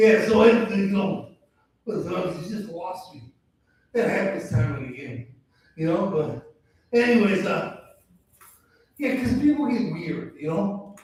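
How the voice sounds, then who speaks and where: Long, frequent pauses break up a moderate pace in an American accent, with big swings in loudness and audible room echo. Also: man, high pitch for a man, lively intonation. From Chicago. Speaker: stand-up comedian. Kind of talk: stand-up. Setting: stage with audience.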